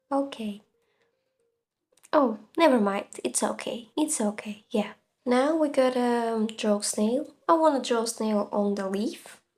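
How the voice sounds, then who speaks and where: A woman speaks very slowly with a non-native accent. Her pitch is fairly high, with ordinary variation. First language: not English. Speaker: gaming and art content creator. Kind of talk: casual commentary while drawing. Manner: hesitant, many fillers.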